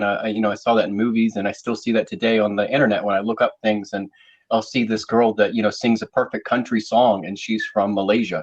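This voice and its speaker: A man talking at a fairly quick pace with a slight Southern US accent. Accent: slight Southern twang. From US South. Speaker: panel show host. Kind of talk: casual chat.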